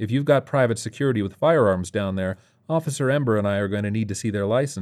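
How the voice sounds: Here we hear a natural reading voice.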